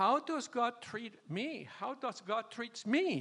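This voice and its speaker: A man's extremely high-pitched, raised and projected voice with lively intonation. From Venezuela. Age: 80s+. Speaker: retired churchgoer sharing marriage advice. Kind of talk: testimony. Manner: halting.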